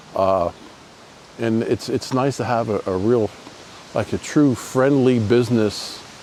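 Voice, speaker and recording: Over noticeable background noise, a man speaks in a relaxed tone at a medium pitch with ordinary pitch variation. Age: 60s. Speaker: tattoo artist. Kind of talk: casual vlog monologue. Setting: outdoors. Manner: relaxed, many fillers.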